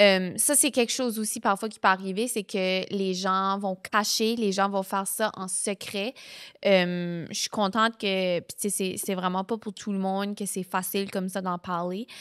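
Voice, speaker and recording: At a fairly slow pace, a woman with an Acadian accent speaks in monotone, flat intonation. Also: very clean recording, silent background. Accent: New Brunswick Acadian French. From New Brunswick, Canada. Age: 20s. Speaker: podcast host. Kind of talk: personal testimony. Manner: casual, filler-heavy.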